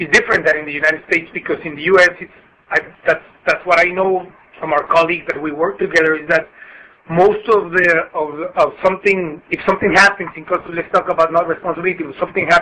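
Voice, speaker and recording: Over noticeable background noise, a high-pitched man with a Spanish accent speaks very fast, his intonation fairly even but his loudness swinging widely. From Mexico. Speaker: customs broker. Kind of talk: webinar presentation. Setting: conference call. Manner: halting.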